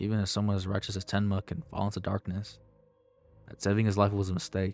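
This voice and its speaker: Over music in the background, a man rattles along at a very fast pace in a fairly low voice with monotone, flat intonation. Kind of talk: anime video essay narration.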